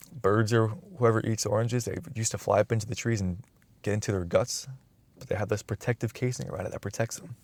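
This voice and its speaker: A man talks very fast at a medium pitch, somewhat breathy, with ordinary pitch variation and a dry, close sound with no echo. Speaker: YouTuber. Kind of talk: casual monologue.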